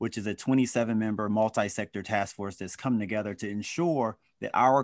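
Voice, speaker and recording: A man with an unremarkable speaking voice talks at a moderate pace and fairly low pitch, with ordinary pitch variation. The background is quiet. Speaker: panel discussion host. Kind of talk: community panel discussion. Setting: video call.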